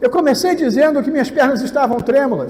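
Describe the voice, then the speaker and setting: A man talks at an extremely high pitch with ordinary pitch variation, amid audible room echo and noticeable background noise. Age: 60s. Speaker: pastor. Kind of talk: sermon. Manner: animated.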